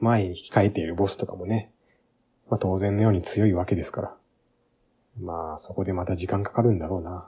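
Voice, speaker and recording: At a fairly quick pace, a man speaks in a fairly low pitch, his dark, mellow tone somewhat breathy and his intonation fairly even. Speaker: game podcast host. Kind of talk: casual solo talk.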